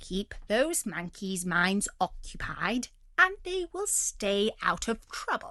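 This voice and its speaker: Using a put-on character voice, a woman speaks very slowly while her pitch swings very widely. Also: fairly high pitch for a woman. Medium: read story. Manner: blustering, bossy.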